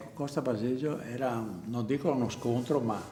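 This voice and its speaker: Music plays in the background as a man speaks at a moderate pace with a medium pitch. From Venice, Italy. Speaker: theatre prompter. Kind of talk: interview answer.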